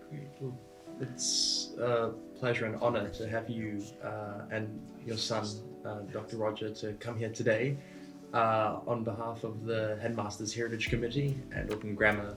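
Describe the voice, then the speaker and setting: Moderately paced talk, fairly even intonation, music playing behind it. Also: man, medium pitch for a man. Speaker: interviewer. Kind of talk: interview questions.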